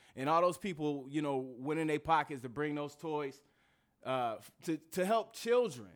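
With an American accent and an unremarkable speaking voice, a man talks at a moderate pace in a fairly high pitch, his intonation lively and his loudness swinging widely. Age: 40s. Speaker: comedian. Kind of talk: casual chat.

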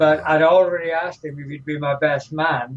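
At a fairly slow pace, a man with an English accent talks in a fairly high pitch with fairly even intonation. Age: 70s. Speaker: retired professional wrestler. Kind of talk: interview. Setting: studio.

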